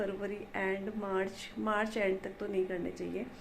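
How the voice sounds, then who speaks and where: The voice is soft-spoken, with noticeable background noise and audible room echo. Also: woman. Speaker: vlogger. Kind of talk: casual vlog narration.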